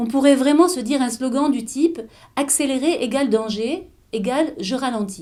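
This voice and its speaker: This woman's voice is high-pitched, with a dark, mellow tone. Her pace is moderate and her pitch varies in an ordinary way. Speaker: author of a mindfulness eating book. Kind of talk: explanatory talk to camera about mindful eating.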